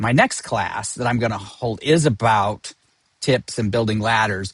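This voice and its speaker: The background stays quiet. A man's voice comes through somewhat breathy. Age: 60s. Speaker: financial advisor. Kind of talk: lecture. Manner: halting.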